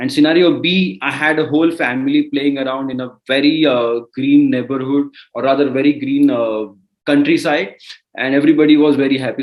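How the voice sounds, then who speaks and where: A man with a Marathi accent talks at a fairly quick pace, his pitch varying in an ordinary way. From India (Maharashtra). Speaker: entrepreneur. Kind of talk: interview. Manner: halting.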